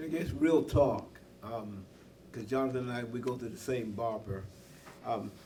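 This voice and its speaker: At a moderate pace with long, frequent pauses, a man of medium pitch speaks with ordinary pitch variation amid audible room echo and noticeable background noise. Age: 70s. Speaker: political candidate, clergyman. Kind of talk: candidate forum debate.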